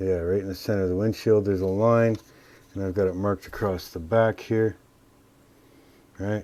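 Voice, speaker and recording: With long, frequent pauses, a man talks at a fairly low pitch in a monotone, flat intonation. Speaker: scale model builder. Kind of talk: tutorial. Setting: workshop bench by a sunny window. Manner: hesitant, many fillers.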